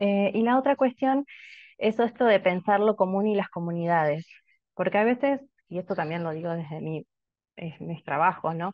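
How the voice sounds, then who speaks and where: A woman speaks at a moderate pace with a Rioplatense accent, her voice dry with no echo against a quiet background. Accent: Argentine Spanish (rioplatense). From Argentina. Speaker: anthropologist, researcher; panelist. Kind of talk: academic commentary. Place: home room. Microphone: webcam.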